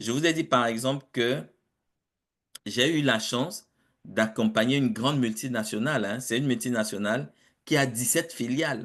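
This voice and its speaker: A man talks with ordinary pitch variation, the background around him quiet. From Africa. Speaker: project management consultant and professor. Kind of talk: webinar interview. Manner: hesitant with fillers and repetitions.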